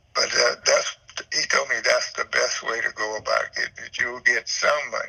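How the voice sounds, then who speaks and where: Noticeable background noise behind a man's moderately paced speech in an American accent. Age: 70s. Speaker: home seller. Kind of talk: phone call with buyer. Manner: rambling, repetitive.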